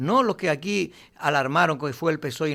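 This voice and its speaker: On a very clean recording with a silent background, a man speaks with a bright, sharp tone at a fairly high pitch. His pace is moderate and his intonation lively. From Canary Islands, Lanzarote. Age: 60s. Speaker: political analyst. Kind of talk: radio interview.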